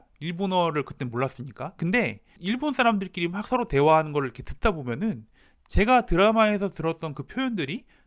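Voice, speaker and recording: Very wide pitch swings mark this fairly quick delivery over a quiet background. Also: man. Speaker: language teacher channel host. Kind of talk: educational talk to camera. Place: home room. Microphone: lapel.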